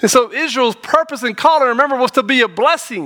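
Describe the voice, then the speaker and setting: A man with an American accent, his raised, projected voice at an extremely high pitch, with lively intonation and a bright, sharp tone. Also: dry, close sound with no echo. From North Carolina, small town. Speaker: pastor. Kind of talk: sermon. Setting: church.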